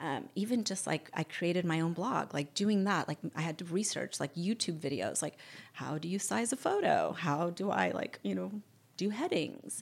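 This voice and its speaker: A woman speaks at a fairly low pitch and a moderate pace, with lively intonation and vocal fry. The recording is very clean, with a silent background. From born in Barcelona, raised mostly in the US. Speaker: fashion influencer. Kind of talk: casual interview.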